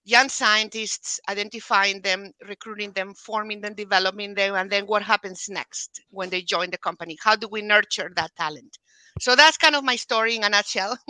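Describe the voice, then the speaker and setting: A bright, sharp tone at a moderate pace, with ordinary pitch variation, hardly any pauses, and a dry, close sound without echo. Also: woman, medium pitch for a woman. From Spain, Galicia. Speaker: pharma talent development leader. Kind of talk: interview.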